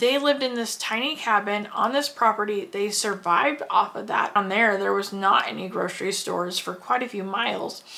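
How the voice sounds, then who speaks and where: Amid noticeable background noise, a woman with an American accent speaks in an animated tone at a fairly high pitch, a moderate pace and ordinary pitch variation. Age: 40s. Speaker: homesteader. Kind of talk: personal storytelling.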